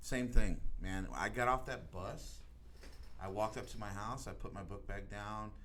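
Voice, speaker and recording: Recorded with audible room echo, a man with an American accent speaks with big swings in loudness. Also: moderate pace. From Texas, Laredo. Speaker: podcast host. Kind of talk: casual chat. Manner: animated.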